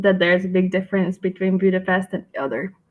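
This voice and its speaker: A woman with a medium pitch talks at a fairly quick pace in a somewhat breathy voice. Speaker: researcher presenting study. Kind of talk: webinar presentation. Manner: halting, many fillers.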